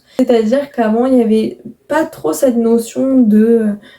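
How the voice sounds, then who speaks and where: Dark, mellow tone from a woman. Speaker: YouTuber. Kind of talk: casual podcast-style monologue. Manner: deliberately calm, slowed pace.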